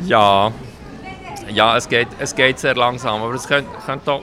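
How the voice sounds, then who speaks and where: A man at a fairly slow pace with medium pitch and fairly even intonation, amid noticeable background noise and audible room echo. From Switzerland, Bern (Bümpliz), Hungarian parents. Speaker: city councillor and politician. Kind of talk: interview. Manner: frequent hesitations.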